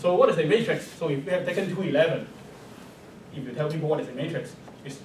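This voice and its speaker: A man with a Chinese accent talks at a very fast pace, fairly high in pitch with ordinary variation. Audible room echo and noticeable background noise fill the recording. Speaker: mathematics professor. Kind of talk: lecture. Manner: hesitant, many fillers.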